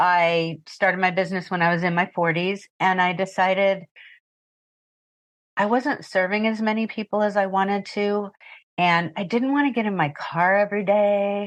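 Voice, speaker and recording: A woman's normal speaking voice at medium pitch, with fairly even intonation, very even loudness and a quiet background. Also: moderate pace. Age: 60s. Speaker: retired pet sitter and business owner. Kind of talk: interview.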